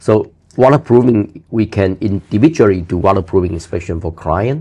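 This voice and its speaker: Lively intonation at a moderate pace, with a non-native accent. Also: man, fairly low pitch for a man. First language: not English. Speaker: building inspector. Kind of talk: interview answer.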